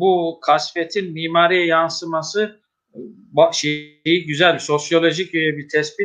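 Over a quiet background, a man with a fairly high pitch and fairly even intonation talks in a plain, everyday voice. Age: 50s. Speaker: mosque musician and religious official, interview host; interview host. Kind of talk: religious interview talk. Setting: online live broadcast. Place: home room. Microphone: video call.

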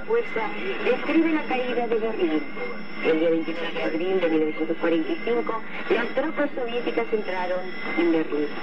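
Loud background noise surrounds speech delivered at a fairly slow pace. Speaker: radio announcer. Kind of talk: 1980s shortwave radio news bulletin and talk, formal scripted reading. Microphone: old recording.

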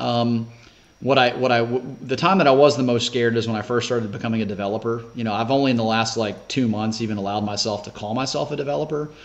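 Talking at a very fast pace, a man speaks in a Southern US accent. His pitch varies in an ordinary way. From US South, Shreveport, Louisiana; Louisiana. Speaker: senior living developer; podcast guest. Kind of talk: casual interview. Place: home room. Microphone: video call.

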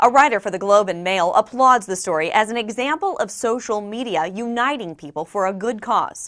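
A woman with an unremarkable speaking voice talks at a fairly quick pace with hardly any pauses, fairly high in pitch and with lively intonation, over a quiet background. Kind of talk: news report narration.

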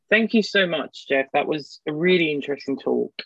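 A speaker with an English accent uses ordinary pitch variation. The background is quiet, and the sound is dry with no echo. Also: man. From England. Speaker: seminar host. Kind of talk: seminar moderation. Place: home room. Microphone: earbuds.

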